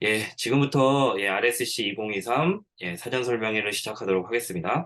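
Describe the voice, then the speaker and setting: At a moderate pace, a man with a medium pitch and a bright, sharp tone speaks with lively intonation. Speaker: teacher, event organizer. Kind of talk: online briefing presentation. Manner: halting, many fillers.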